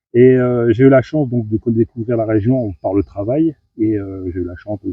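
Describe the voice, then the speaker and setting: With music playing behind him, a man speaks fairly slowly. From northern France, Lille area. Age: 50s. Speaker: carp angler, competitor. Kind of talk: interview. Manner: hesitant, many fillers.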